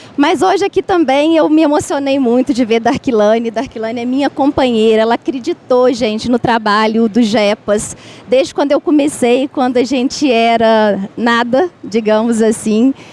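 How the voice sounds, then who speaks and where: A dry, close sound with no echo, a Minas Gerais accent, a moderate pace with hardly any pauses, and noticeable background noise. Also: woman, high pitch for a woman, ordinary pitch variation. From Minas Gerais, Brazil. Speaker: university researcher in food environments. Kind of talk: panel debate. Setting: public event in a market hall. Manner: halting, with many fillers.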